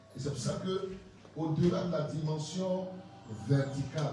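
Through noticeable background noise and strong room echo, the speaker moves at a moderate pace with ordinary pitch variation. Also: man. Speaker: preacher. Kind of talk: sermon. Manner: emphatic, teaching cadence, explains points one by one. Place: church. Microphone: handheld.

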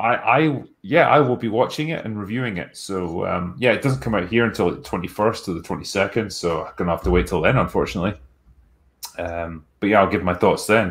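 Speaking at a fairly quick pace, a man with a Scottish accent uses lively intonation and a fairly low pitch. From Scotland. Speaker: film critic, channel host; channel host. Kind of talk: casual chat reading superchats. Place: home room.

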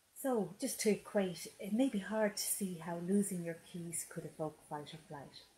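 A woman's calm, gentle, somewhat breathy voice in an Irish accent, medium in pitch, with ordinary pitch variation, a moderate pace and hardly any pauses. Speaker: hypnotherapist and life coach. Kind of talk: webinar talk with guided hypnosis. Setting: Facebook live stream.

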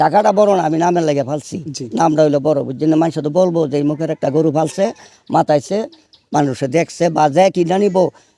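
A man's fairly high-pitched voice with an eastern Bangladeshi accent, dark and mellow in tone, with ordinary pitch variation. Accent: Brahmanbaria regional Bengali dialect. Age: 70s. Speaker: cattle farmer. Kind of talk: field interview.

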